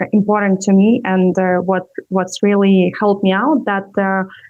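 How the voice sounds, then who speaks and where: Over music in the background, a woman with a non-native accent speaks at a moderate pace and medium pitch. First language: not English. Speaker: entrepreneur and communication coach. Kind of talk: interview. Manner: halting, many fillers.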